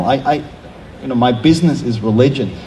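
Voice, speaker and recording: A man with a German accent speaks at a fairly high pitch. Noticeable background noise and audible room echo fill the recording. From Germany, small town. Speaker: theology professor. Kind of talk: panel discussion.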